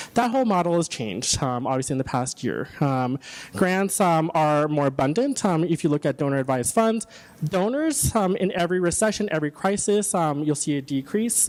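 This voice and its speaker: Speaking at a fairly quick pace, a man with a fairly high pitch uses lively intonation and very even loudness. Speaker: city economic development official, guest speaker. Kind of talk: presentation / training talk. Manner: fast; hesitant, many filler words.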